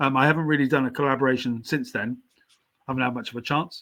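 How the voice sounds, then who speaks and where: With a southern English accent, a man speaks in a bright, sharp tone at a fairly high pitch, keeping his intonation fairly even. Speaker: writer, poet and painter. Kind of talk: podcast interview. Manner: slight stammer.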